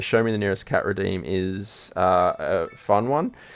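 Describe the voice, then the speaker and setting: This is a man with an Australian accent. He speaks at a fairly slow pace. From Australia, Sydney. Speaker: game streamer. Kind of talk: casual live stream chat. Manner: relaxed, chill.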